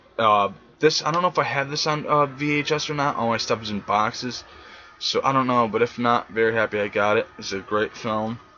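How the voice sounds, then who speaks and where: A man delivers his words fairly quickly, his medium pitch and fairly even intonation set against noticeable background noise. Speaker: collector vlogger. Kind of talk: collection showcase vlog. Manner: fast; casual, filler-heavy.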